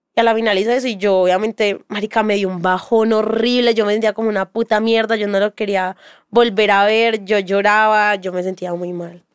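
Speaking with flat, monotone intonation at a medium pitch, a woman moves at a fairly quick pace with hardly any pauses, in a dry, close sound with no echo. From Colombia, Medellín area (Bello). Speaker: content creator, model. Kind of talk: casual interview chat.

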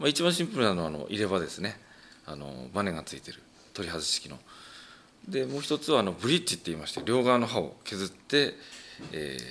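Marked by vocal fry, a man's fairly low voice makes very wide pitch swings and big swings in loudness, broken by long, frequent pauses. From Japan, Ibaraki (Tsuchiura). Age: 40s. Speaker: professional wrestler and dentist. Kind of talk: casual interview chat.

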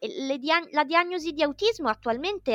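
A woman with an ordinary speaking voice and lively intonation, at a moderate pace, in a dry, close sound with no echo. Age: 30s. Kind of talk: interview.

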